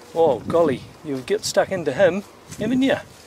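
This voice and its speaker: Noticeable background noise sits behind a man with a New Zealand accent. He speaks at a moderate pace in a high pitch with lively intonation. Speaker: vineyard manager. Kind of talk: walking tour narration. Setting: outdoors. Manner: quiet.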